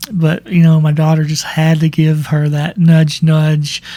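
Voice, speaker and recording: A dark, mellow, somewhat breathy voice in a monotone, flat delivery at a fairly slow pace. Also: man. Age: 40s. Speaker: podcast host. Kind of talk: personal monologue. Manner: halting.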